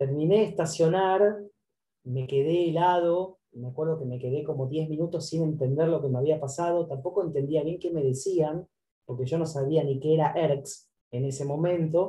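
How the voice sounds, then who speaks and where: Fairly high in pitch, a man speaks in a dark, mellow tone at a moderate pace with fairly even intonation. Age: 50s. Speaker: author and publicist. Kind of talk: interview about his book.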